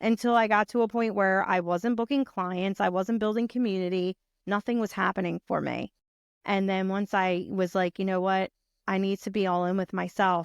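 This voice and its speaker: A woman's medium-pitched voice with a strong Philadelphia accent, at a moderate pace and with fairly even intonation, in a dry, close sound with no echo over a quiet background. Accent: thick Philadelphia. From Philadelphia, US. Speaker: brand strategist and podcaster. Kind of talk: interview conversation.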